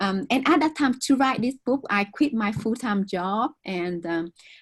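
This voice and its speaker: Someone speaks at a moderate pace with a Vietnamese accent. The voice is somewhat breathy, and the sound is dry and close with no echo. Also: woman. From southern Vietnam. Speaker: author. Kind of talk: interview conversation.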